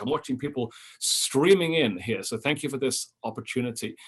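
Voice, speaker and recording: With a British accent, a man talks at medium pitch with ordinary pitch variation. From London, England. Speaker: history professor and author. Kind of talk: lecture. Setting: Zoom webinar from office. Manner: halting, many fillers.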